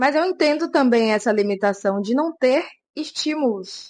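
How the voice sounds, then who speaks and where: This woman's high-pitched voice rises and falls with lively intonation in a Brazilian accent. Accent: Brazilian accent in her English. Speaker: vlogger. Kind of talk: casual vlog talk to camera.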